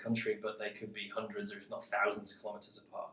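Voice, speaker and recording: Speaking very fast, a man talks in a Mancunian accent. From Manchester, northern England. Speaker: interviewee. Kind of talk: interview.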